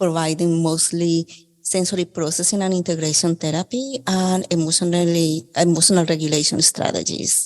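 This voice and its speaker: Speaking with a Colombian accent, a woman uses a fairly low pitch, fairly even intonation, very even loudness and a moderate pace. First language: Spanish. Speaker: occupational therapist. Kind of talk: podcast interview.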